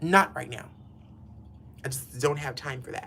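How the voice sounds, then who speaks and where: A man speaks with a Southern US accent at a moderate pace. Noticeable background noise runs under his voice. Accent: Southern US country. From US South. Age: 50s. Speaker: hairstylist. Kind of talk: casual livestream chat while styling hair. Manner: chatty, animated.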